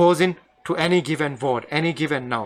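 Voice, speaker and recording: A man talks with a Maldivian accent. His intonation is lively. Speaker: Arabic language teacher. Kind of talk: lecture. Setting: live online stream. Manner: halting.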